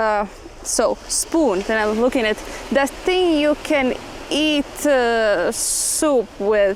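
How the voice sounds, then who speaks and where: Very slowly and with a strong Latvian accent, a woman speaks at a high pitch with lively intonation and very even loudness over noticeable background noise. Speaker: dancer and dance entrepreneur. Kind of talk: casual interview chat. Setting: outdoors on a beach. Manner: halting, non-fluent English.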